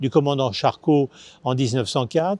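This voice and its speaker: A man speaks with a dry, close sound and no echo. The background is quiet. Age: 60s. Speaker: foundation president. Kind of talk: video presentation. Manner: hesitant with many filler sounds.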